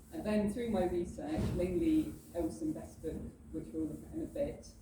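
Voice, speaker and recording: At a moderate pace, a woman with an English accent speaks amid noticeable background noise and audible room echo. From southern England, Bexhill-on-Sea. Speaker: library heritage and research lead. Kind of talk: presentation. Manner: hesitant with frequent fillers.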